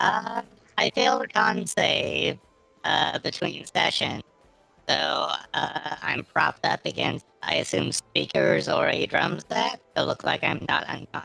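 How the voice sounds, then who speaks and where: A man's raspy put-on character voice at a moderate pace, dry and close with no echo. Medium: actual play.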